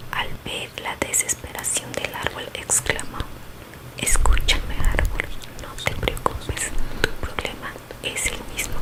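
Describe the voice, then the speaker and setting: A whisper comes through at a very slow pace. Noticeable background noise sits behind it. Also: woman. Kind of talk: ASMR bedtime story reading. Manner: whispered, soft-spoken.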